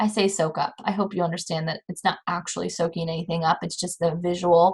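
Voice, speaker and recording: This woman speaks at a fairly quick pace in a fairly low, somewhat breathy voice with monotone, flat intonation. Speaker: college anatomy and physiology instructor. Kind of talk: recorded lecture. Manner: fast.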